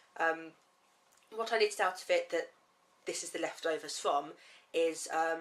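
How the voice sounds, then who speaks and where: A woman is speaking. She has a southern English accent. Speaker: knitting podcaster. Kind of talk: casual talk to camera.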